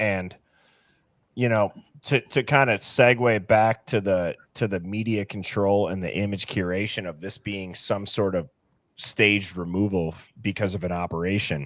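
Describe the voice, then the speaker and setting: A man with an American accent and a plain, everyday voice speaks at a fairly low pitch with fairly even intonation in a very clean recording with a silent background. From US Upper Midwest (Milwaukee, Wisconsin). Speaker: true crime commentator. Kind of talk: casual chat.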